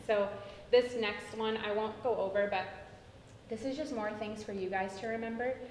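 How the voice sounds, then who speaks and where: A fairly high-pitched woman at a moderate pace with fairly even intonation, long, frequent pauses, audible room echo, and noticeable background noise. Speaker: tutoring program trainer. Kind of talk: training presentation.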